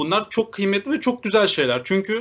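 Fairly quick speech from a man, with a quiet background. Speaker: data engineering instructor. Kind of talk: live Q&A answers. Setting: video call. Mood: reflective, positive. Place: home room. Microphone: video call.

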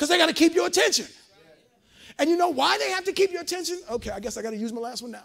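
At a very fast pace, a man speaks in an extremely high, animated voice. His pitch swings very widely, and his loudness swings a lot too. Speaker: preacher. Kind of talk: sermon. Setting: church. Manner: animated, call-and-response, building to a crescendo; loud, fervent. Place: hall.

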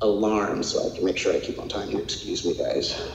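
A man with an American accent at a moderate pace, with audible room echo and light background noise. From North Texas (Graham); Texas. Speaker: sculptor and art professor. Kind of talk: artist lecture. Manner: casual, with fillers. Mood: reflective, earnest. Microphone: video call.

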